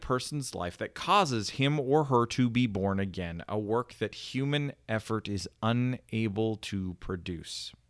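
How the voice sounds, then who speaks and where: In an ordinary speaking voice, a man of medium pitch talks with lively intonation on a very clean recording with a silent background. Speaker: podcast host. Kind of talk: casual chat.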